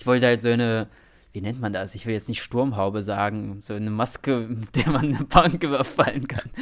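A man talks fairly quickly, his pitch medium and its variation ordinary. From small town in Germany. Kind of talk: casual chat. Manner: mumbling.

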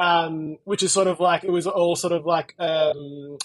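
A high-pitched man speaks in an Australian accent with fairly even intonation. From Melbourne, Australia. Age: 30s. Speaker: life coach. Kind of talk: casual chat. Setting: video call.

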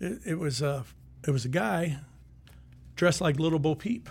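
On a very clean recording with a silent background, a somewhat breathy man talks at a fairly slow pace, with a fairly high pitch and very wide pitch swings. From US Midwest (Sioux City, Iowa). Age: 60s. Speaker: retired sheriff. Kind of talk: casual chat. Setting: studio.

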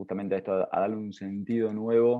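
A man's fairly low voice, very fast and monotone, with flat intonation. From Argentina, Entre Ríos (Concordia). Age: 30s. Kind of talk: interview.

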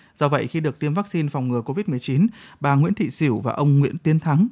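A man with a fairly high pitch and lively intonation sounds somewhat breathy in a very clean recording with a silent background and a dry, close sound with no echo. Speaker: radio host. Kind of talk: news reading. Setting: studio.

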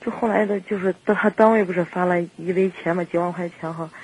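Over noticeable background noise, a woman talks at a medium pitch. Her pitch varies in an ordinary way. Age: 30s. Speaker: radio call-in caller. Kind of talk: phone-in advice conversation.

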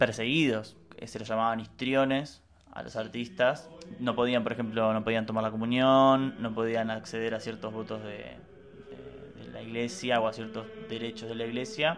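A man's medium-pitched voice at a moderate pace, fairly even intonation and big swings in loudness, over noticeable background noise. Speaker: podcast co-host. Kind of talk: casual educational chat.

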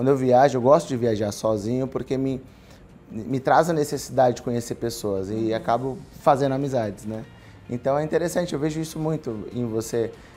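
Speaking at a fairly quick pace, a man has a medium-pitched voice with a dark, mellow tone. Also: ordinary pitch variation. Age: 30s. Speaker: podcast host. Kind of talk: casual chat.

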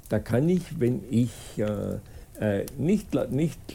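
Lively intonation from a man with a medium pitch and a dark, mellow tone. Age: 80s+. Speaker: school co-founder and author. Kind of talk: interview. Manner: halting, many fillers and restarts.

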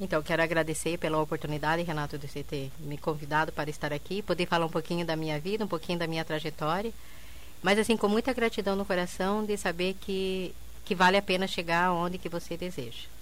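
A woman talks at a very fast pace. Her fairly low voice shows ordinary pitch variation. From southern Brazil, interior of Paraná (Quedas do Iguaçu). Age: 50s. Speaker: entrepreneur, bar owner. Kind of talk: radio interview. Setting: radio studio.

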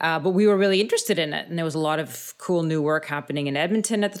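A woman with a Canadian accent speaks in a very deep, low voice with lively intonation, captured in a very clean recording against a silent background. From Canada, Thunder Bay, Ontario. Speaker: playwright and actor. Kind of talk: interview.

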